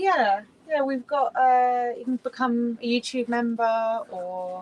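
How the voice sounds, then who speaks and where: A high-pitched woman's voice with a British accent and ordinary pitch variation. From Britain. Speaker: cruising sailor, video creator. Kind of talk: casual interview chat.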